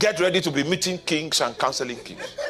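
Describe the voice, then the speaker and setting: A man with a high pitch speaks in an animated tone with ordinary pitch variation. Noticeable background noise is present. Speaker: pastor. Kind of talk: sermon.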